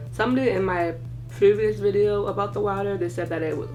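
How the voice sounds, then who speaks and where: A woman speaks at a very fast pace over noticeable background noise, with audible room echo. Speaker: beauty vlogger. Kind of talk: casual chat.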